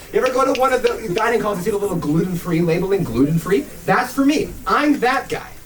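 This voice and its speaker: A man speaks at a very fast pace in a high pitch with lively intonation. Noticeable background noise sits behind him. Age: young. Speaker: stand-up comedian. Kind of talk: stand-up comedy set to a live audience. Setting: live venue, small club.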